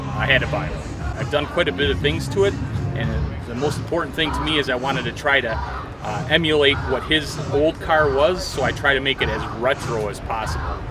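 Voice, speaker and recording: A man with an American accent speaks at a fairly quick pace. Music plays in the background, and the room echo is audible. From Wisconsin. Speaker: car owner at a car show. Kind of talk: casual interview.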